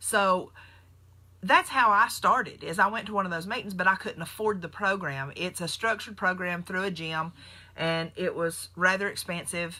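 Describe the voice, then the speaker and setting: A woman's bright, sharp tone at a medium pitch, with a Southern US accent, a moderate pace and ordinary pitch variation. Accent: very country Southern US. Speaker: nurse and keto diet vlogger. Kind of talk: casual live stream talk. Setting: Facebook live video. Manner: animated.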